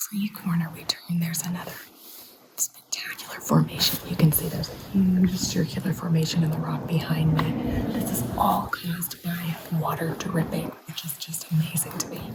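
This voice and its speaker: Whispering over noticeable background noise. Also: moderate pace. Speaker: travel vlogger. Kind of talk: vlog narration. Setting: inside a cave.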